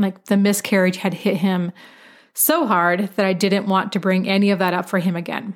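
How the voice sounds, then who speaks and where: A woman at a medium pitch and moderate pace, on a very clean recording with a silent background. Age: 40s. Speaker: podcast host and online health coach. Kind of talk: casual personal update monologue. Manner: animated, laughs often.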